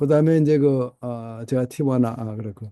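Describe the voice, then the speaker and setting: At a fairly slow pace, a man speaks in a dark, mellow tone with medium pitch and fairly even intonation. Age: 70s. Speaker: pastor and missionary. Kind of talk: personal testimony vlog. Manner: halting, many fillers.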